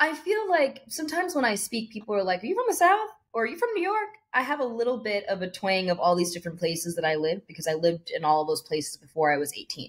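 A woman in an American accent talks at a very fast pace, her fairly high, somewhat breathy voice making very wide pitch swings. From California. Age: 30s. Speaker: actor and dancer. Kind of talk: casual interview. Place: home room. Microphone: webcam.

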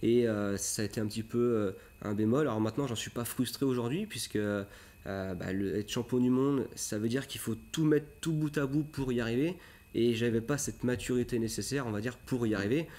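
The man's tone is dark and mellow. He moves at a fairly quick pace. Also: medium pitch for a man, ordinary pitch variation. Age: 30s. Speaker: motocross coach. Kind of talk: TV interview. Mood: calm, reflective. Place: studio.

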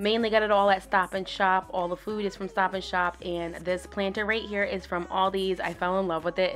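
Music plays in the background as a woman speaks at a fairly quick pace. Her intonation stays fairly even. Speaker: home vlogger. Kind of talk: casual vlog chat. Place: home room.

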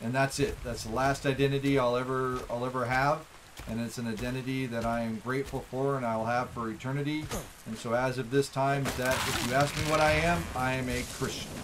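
The speaker has an American accent and talks at a fairly quick pace with monotone, flat intonation over noticeable background noise. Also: man. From United States. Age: 50s. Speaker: streamer. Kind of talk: casual chat on a live stream. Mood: earnest, reflective.

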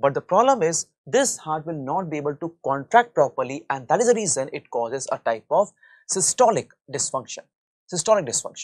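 A man talks at a fairly quick pace with very wide pitch swings. The background is quiet. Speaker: medical lecturer. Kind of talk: lecture.

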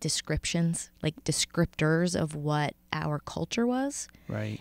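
With a quiet background and a dry sound free of echo, a woman speaks very slowly at a very deep, low pitch. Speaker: podcast co-host. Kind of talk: podcast conversation. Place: studio. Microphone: studio mic.

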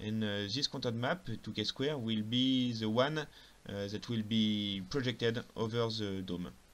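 A man with a non-native accent speaks very slowly at a medium pitch, with ordinary pitch variation. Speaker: software tutorial narrator. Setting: lower-quality home recording. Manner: calm, step-by-step explanatory.

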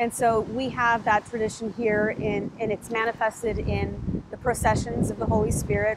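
A woman speaks at a moderate pace in a dry sound with no echo, against noticeable background noise. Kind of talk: interview answer. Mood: warm, engaged. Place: garden. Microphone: lapel.

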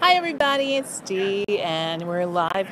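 At a moderate pace, a woman talks while noticeable background noise plays. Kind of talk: casual vlog chat. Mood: cheerful. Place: street. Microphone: phone near.

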